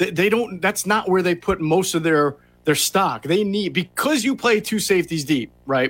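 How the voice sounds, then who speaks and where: In a very clean recording with a silent background, a man with a high pitch talks at a moderate pace, his intonation lively and his loudness very even. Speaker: NFL draft analyst. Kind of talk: sports talk radio.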